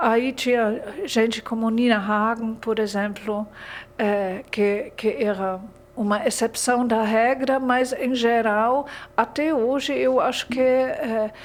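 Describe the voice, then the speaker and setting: The pace is very slow and the intonation fairly even. Loudness stays very even throughout. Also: woman, fairly high pitch for a woman. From Germany. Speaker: literature graduate, German teacher. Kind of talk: interview. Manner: halting.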